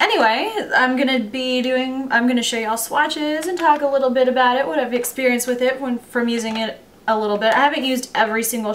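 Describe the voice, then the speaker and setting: Speaking at a fairly quick pace, a woman uses a fairly high pitch with ordinary pitch variation over noticeable background noise. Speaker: beauty vlogger. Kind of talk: product review. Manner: casual, chatty.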